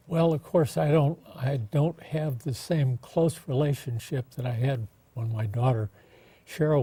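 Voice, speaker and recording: At a moderate pace, a somewhat breathy voice with a dark, mellow tone speaks in an American accent. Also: man. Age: 80s+. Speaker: former mayor. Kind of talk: interview.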